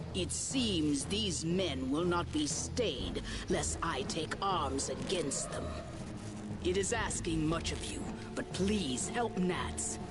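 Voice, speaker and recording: A put-on character voice moves at a very slow pace. Loud music plays in the background. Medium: game stream. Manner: formal, archaic, measured.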